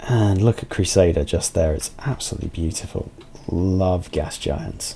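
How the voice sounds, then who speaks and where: Soft-spoken and very deep, a man with a British accent talks at a moderate pace with ordinary pitch variation. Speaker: video game streamer. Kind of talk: live gameplay commentary.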